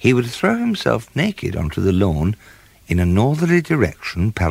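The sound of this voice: An unforced reading voice carries the clip.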